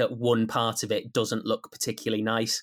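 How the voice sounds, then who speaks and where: Over a silent background in a very clean recording, a man with a Teesside accent talks at a moderate pace. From Teesside, north-east England. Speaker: radio sports presenter. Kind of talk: casual interview chat.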